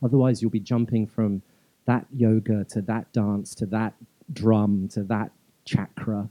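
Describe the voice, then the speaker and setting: A man's fairly low voice with a London accent, dark and mellow in tone, flat and monotone, at a fairly slow pace, dry and close with no echo. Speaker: dance teacher. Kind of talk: live stage interview. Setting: stage with audience.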